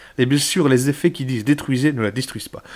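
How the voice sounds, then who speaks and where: A man talks at a fairly quick pace. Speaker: YouTuber, card collector. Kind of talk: card booster opening, reading cards aloud. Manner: casual; halting, stumbling over words.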